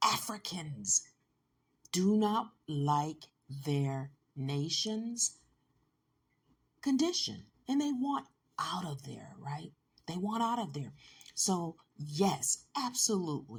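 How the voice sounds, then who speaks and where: A woman with an American accent speaks at a very slow pace in a fairly low, somewhat breathy voice with very wide pitch swings. She pauses often and at length. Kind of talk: commentary talk to camera.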